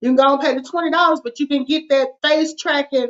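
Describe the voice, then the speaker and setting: A woman in a Southern US accent talks at a high pitch. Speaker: finance show host. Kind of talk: casual chat. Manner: casual, informal.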